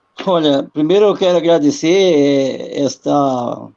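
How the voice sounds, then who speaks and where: At a very slow pace, a man talks in a fairly high pitch with fairly even intonation. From Brazil, rural. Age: 60s. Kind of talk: online panel talk. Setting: live video call.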